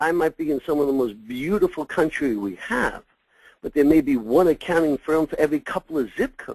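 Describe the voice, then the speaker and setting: This man has a New York accent and a fairly high pitch, with ordinary pitch variation and a fairly quick pace. The sound is dry and close with no echo, over a quiet background. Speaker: succession consultant for accounting firms. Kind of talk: webinar presentation. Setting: webinar.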